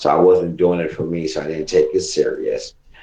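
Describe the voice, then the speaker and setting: Against noticeable background noise, a man with an American accent speaks at a fairly quick pace. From US South, North Carolina. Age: 40s. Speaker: podcast co-host. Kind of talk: casual chat. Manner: rambling, halting with fillers.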